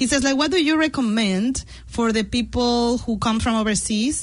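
This woman talks at a moderate pace with a slight Mexican accent. Her fairly high pitch shows ordinary variation. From Mexico. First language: Spanish. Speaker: radio host. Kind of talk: radio interview. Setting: radio studio.

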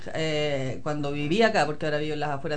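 With audible room echo and noticeable background noise, someone talks fairly quickly. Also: woman. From Chile. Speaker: former community radio host, mother. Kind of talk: casual interview.

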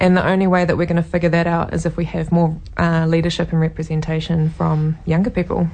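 Talking at a very fast pace, a woman with a New Zealand accent has a dark, mellow tone, a fairly low pitch, very even loudness and monotone, flat intonation. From New Zealand (Taranaki). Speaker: local election candidate. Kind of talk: interview.

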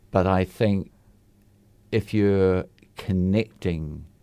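Speaking with a New Zealand accent, a man with a very deep, low pitch and a dark, mellow tone keeps his intonation fairly even. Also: very clean recording, silent background. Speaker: community radio host. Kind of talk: casual chat. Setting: studio.

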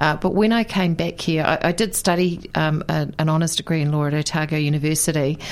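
In a New Zealand accent, a woman with a very deep, low pitch talks at a fairly quick pace with hardly any pauses, fairly even intonation and very even loudness, over noticeable background noise. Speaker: politician. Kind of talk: radio interview.

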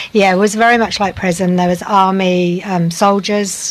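Against noticeable background noise, the speaker talks at a fairly slow pace in a monotone, flat intonation. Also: woman. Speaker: medical professional, interviewee. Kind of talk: casual interview. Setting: outdoors on a deck, recorded earlier.

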